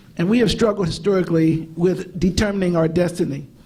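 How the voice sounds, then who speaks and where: With audible room echo, a man speaks at a moderate pace in a high voice with ordinary pitch variation. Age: 60s. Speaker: civil rights lawyer and law teacher. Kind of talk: conference panel talk.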